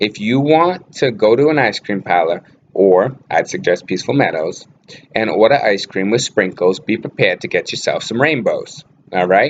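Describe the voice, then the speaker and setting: A man speaks with a Boston accent at a medium pitch. His pitch swings very widely. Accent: Boston accent, natural. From Boston area, Massachusetts. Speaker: vlogger, actor and model. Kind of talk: casual vlog talk. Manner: casual, with many fillers.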